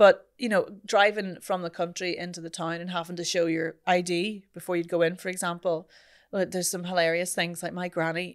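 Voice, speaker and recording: In a Northern Irish accent, a woman talks at a fairly quick pace with a fairly low pitch and flat, monotone intonation. The recording is very clean, with a silent background. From Northern Ireland. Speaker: voice coach and podcast host. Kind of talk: podcast interview answer.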